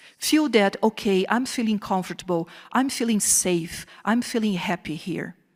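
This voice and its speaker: A woman of medium pitch talks at a moderate pace in a Portuguese accent. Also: ordinary pitch variation. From southern Brazil. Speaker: professor. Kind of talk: keynote lecture. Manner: animated.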